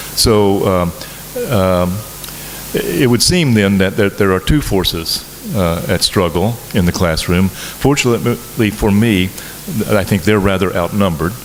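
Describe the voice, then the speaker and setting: Speaking in an American accent, this voice leaves long, frequent pauses over noticeable background noise. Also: man, fairly low pitch for a man, ordinary pitch variation, fairly slow pace, very even loudness. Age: 60s. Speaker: professor. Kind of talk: lecture. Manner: halting, with many fillers.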